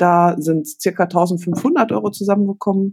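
A woman's plain, everyday voice at medium pitch, with lively intonation. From Germany, Paderborn. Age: 40s. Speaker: teacher managing charity projects. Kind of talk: casual chat.

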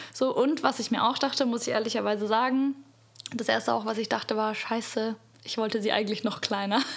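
Against noticeable background noise, a woman speaks at a fairly quick pace with a fairly high pitch and fairly even intonation. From Bavaria, Munich. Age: 20s. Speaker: podcast guest. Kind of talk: casual chat. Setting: at the host's home. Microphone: too far from the mic at first.

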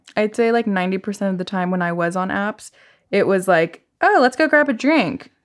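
On a very clean recording with a silent background, a woman has an ordinary speaking voice at a medium pitch. She speaks at a fairly quick pace with lively intonation. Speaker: podcast co-host. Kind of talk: casual chat.

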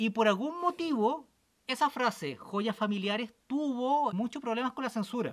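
A man speaks at a fairly slow pace in a bright, sharp tone. His pitch swings very widely. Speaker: podcast co-host. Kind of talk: casual chat.

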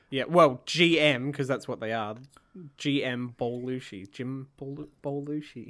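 Over a silent background in a very clean recording, a man speaks at a fairly slow pace with a medium pitch and fairly even intonation. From Australia. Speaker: podcast co-host. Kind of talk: casual chat.

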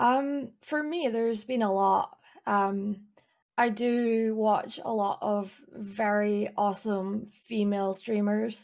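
The speech moves at a very slow pace, with fairly even intonation and very even loudness. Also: woman, fairly high pitch for a woman. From east Scotland, near Edinburgh. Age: 20s. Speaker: streamer and illustrator, PhD student. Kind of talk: casual interview chat.

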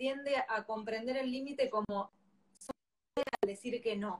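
With a high pitch and ordinary pitch variation, a woman speaks. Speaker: parenting educator. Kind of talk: live-stream interview.

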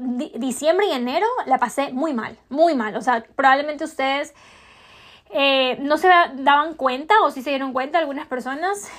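A woman speaks at a high pitch and a moderate pace. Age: 20s. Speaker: podcast host. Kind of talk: casual personal vlog-style monologue.

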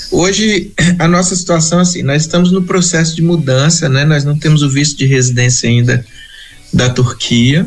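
Over noticeable background noise, the speaker keeps a moderate pace, very even loudness, and ordinary pitch variation. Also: man, fairly high pitch for a man. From Brazil, Espírito Santo (rural). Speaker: missionary. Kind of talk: interview.

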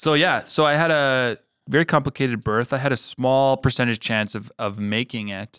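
A man with a Canadian accent and a plain, everyday voice talks at medium pitch and a moderate pace with ordinary pitch variation, in a very clean recording with a silent background and a dry, close sound with no echo. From Manitoba, Canada. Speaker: podcast co-host. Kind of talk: casual chat.

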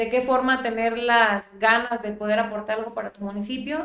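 Fairly even intonation in a fairly high-pitched woman's voice. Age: 20s. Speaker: mayor. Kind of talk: interview. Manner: halting.

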